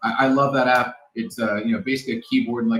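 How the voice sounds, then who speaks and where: Speaking at a very fast pace with an American accent, a man is heard over music in the background. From New York City. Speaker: security expert. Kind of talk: casual interview.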